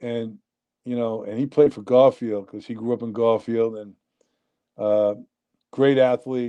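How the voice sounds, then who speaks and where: With a New York accent, a man speaks at a medium pitch in a dark, mellow tone, fairly slow and with long, frequent pauses. His intonation is monotone and flat while his loudness swings widely, over a quiet background. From New Jersey, Union City. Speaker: nightclub owner. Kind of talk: casual chat.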